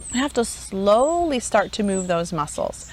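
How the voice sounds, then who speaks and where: A woman speaks with an unremarkable speaking voice at a medium pitch. Her pace is moderate. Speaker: homeschool teacher trainer. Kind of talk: conference talk.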